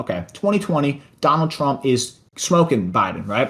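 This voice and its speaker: The voice has an animated tone with very wide pitch swings and vocal fry. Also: man. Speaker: podcast co-host. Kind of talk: casual chat.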